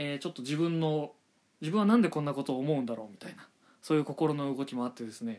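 This man talks with lively intonation. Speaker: manga review podcaster. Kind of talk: solo podcast monologue. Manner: fast; polite formal.

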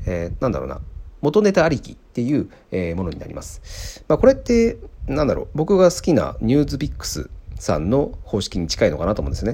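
Speaking fairly quickly, a man shows big swings in loudness. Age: 30s. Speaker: podcast host, software engineer. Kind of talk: casual solo talk. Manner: hesitant, many fillers.

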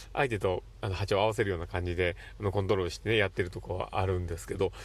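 With vocal fry and a fairly low pitch, a man talks at a very fast pace on a very clean recording with a silent background. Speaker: psychiatric visiting nurse, podcast host. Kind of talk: solo monologue podcast. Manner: animated.

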